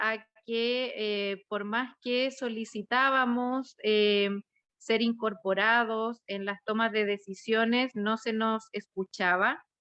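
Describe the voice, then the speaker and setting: A woman's fairly high, bright and sharp voice with fairly even intonation at a very slow pace, in a dry, close sound with no echo. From Chile, rural Santiago. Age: 30s. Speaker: constitutional convention delegate and schoolteacher. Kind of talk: panel presentation. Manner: hesitant, many fillers.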